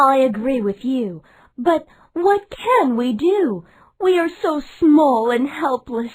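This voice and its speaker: A put-on character voice, female-sounding and high-pitched, delivered at a fairly slow pace. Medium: read story.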